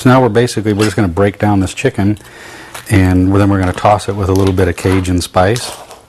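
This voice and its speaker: A man at a very fast pace, fairly low in pitch, with fairly even intonation over noticeable background noise. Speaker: cooking show host and barbecue restaurant owner. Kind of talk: cooking demonstration.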